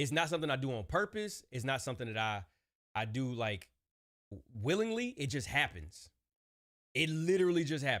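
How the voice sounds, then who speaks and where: With an American accent, a man speaks at a fairly quick pace and medium pitch in an animated tone, his pitch swinging very widely between long, frequent pauses, on a very clean recording with a silent background. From Ohio, Cleveland. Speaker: wrestling streamer. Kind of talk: casual chat. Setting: live stream watch party.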